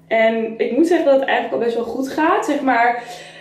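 The high voice of a woman comes with audible room echo. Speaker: vlogger. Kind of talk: casual vlog chat. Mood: candid, storytelling about loneliness. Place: bathroom. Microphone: camera far.

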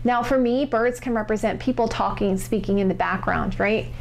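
A woman speaks at a moderate pace while light background noise sits underneath. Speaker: tarot reader. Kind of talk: tarot reading commentary. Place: home room.

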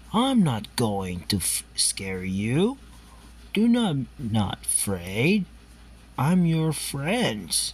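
A cartoonish character voice moves along at a very slow pace. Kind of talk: comic fan dub. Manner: gentle, reassuring.

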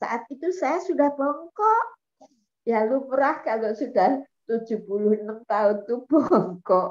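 Against a quiet background, a woman speaks very slowly in a high pitch with very wide pitch swings. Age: 80s+. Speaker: program participant; guest. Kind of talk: testimony. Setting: video call. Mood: cheerful, laughing often. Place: home room. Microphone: video call.

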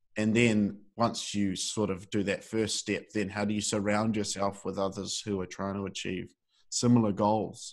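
A man with a New Zealand accent, fairly low in pitch, monotone and flat, at a moderate pace against a quiet background. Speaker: podcast host. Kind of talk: interview.

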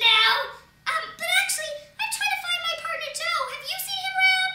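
Extremely high pitch in a cartoonish character voice, delivered at a moderate pace. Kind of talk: comedy sketch voices. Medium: puppet.

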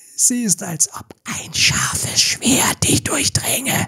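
A put-on character voice drawn out at a very slow pace. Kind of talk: fairy tale audiobook acting. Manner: mocking, ominous.

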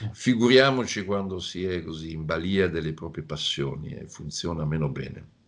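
A man's very deep, low voice at a moderate pace, with lively intonation and hardly any pauses. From Italy. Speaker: security analyst, professor. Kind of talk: interview answers. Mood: relaxed, analytical. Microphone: video call.

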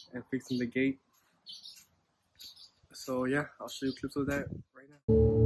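Over music in the background, a man talks at a moderate pace in a dry sound with no echo. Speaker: farm vlogger. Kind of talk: casual vlog chat. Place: farm machine. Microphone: earbuds.

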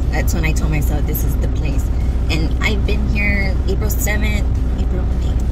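With music in the background, a woman talks at a fairly slow pace, in a dry sound with no echo. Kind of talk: casual vlog chat. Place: car. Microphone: phone near.

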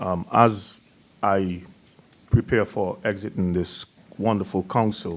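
The voice belongs to a man and sits fairly low in pitch. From outside the US. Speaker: town council member. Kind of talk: council meeting remarks. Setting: council chamber meeting. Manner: halting.

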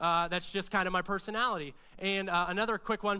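At a fairly quick pace, a man uses a raised, projected voice with a bright, sharp tone and fairly even intonation. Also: quiet background. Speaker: pastor preaching. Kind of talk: sermon. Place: church. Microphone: headset.

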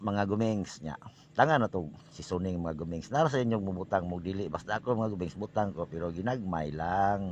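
Here a man talks with a Philippine accent in a very deep, low pitch. His tone is animated and his pace moderate. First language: Cebuano (speaking Tagalog). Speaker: home cooking vlogger. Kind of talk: cooking tutorial.

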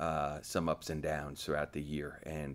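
A man speaks at a very deep, low pitch. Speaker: head coach. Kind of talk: interview answer. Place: meeting room.

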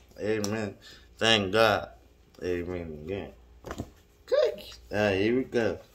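Noticeable background noise sits behind a man with a fairly low pitch and ordinary pitch variation. He talks at a very slow pace with long, frequent pauses. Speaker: Bible reader. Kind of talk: reading aloud. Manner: halting.

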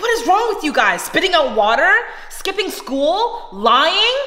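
A raised, projected voice speaks at a fairly slow pace, with audible room echo around it. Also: woman. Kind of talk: scripted family skit dialogue. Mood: suspicious, scolding. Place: kitchen. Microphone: camera far.

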